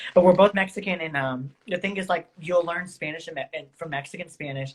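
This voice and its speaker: This woman has a normal speaking voice, fairly low in pitch with ordinary pitch variation, and she talks at a fairly quick pace with an American accent and big swings in loudness. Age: 20s. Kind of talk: casual chat. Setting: Instagram live stream.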